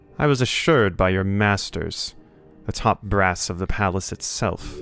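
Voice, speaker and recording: Faint music plays in the background as a man uses a put-on character voice. His pitch is fairly low and his pace moderate. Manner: disdainful.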